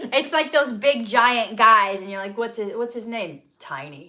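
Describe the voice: A woman with a Minnesotan accent speaks at a fairly slow pace and a fairly high pitch, her intonation lively. Her tone is bright and sharp, with big swings in loudness. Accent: Minnesota.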